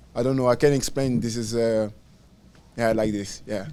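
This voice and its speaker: A man with a French accent speaks at a medium pitch with monotone, flat intonation. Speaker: professional footballer. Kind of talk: press conference. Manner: halting, many fillers and repeats.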